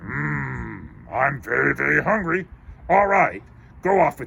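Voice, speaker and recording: A man puts on a character voice at a fairly low pitch. His pace is fairly slow. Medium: read story. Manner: menacing, greedy.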